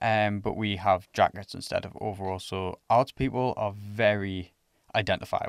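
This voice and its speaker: On a very clean recording with a silent background and a dry, close sound with no echo, a man speaks in a fairly low voice. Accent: English. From England. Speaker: student ambassador podcast host. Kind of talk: casual chat.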